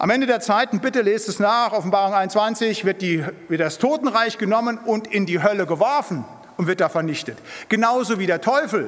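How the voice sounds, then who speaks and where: A high-pitched man talks at a moderate pace, his pitch varying in an ordinary way. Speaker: preacher. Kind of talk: sermon. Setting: church. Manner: emphatic.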